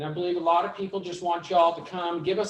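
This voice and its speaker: A man with a high pitch speaks in a Vermont accent. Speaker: mortgage lender. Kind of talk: panel pitch to audience. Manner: fast; animated.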